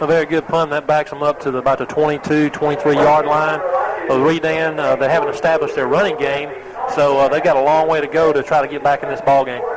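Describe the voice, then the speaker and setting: Over noticeable background noise, a man with an American accent talks at a very fast pace in a fairly high voice with fairly even intonation. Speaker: radio color commentator. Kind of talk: live commentary. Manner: halting, stumbling over words.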